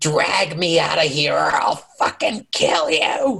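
The speaker uses a put-on character voice. It sits at a middle pitch. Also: fairly slow pace. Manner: threatening.

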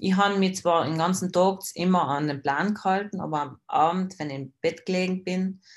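A woman talks in a normal speaking voice with fairly even intonation. The recording is very clean, and the background is silent. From South Tyrol, Italy. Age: 20s. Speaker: bodybuilding athlete. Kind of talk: casual interview.

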